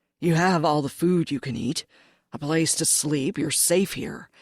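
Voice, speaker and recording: A woman puts on a character voice with a growl. Her very deep, low pitch moves at a moderate pace. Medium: read story. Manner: gruff, curt.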